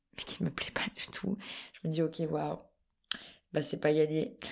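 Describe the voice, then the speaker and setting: This woman's voice sits fairly low in pitch. She speaks at a fairly slow pace. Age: 20s. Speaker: actress and cultural media co-founder. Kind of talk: casual chat. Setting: at a festival in Avignon.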